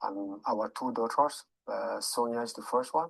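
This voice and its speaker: Speaking in a French accent, a man talks at a moderate pace. His pitch is medium, and the background is quiet. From Cameroon, French-speaking part. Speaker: local politician. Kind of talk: interview. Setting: studio. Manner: halting, many repetitions.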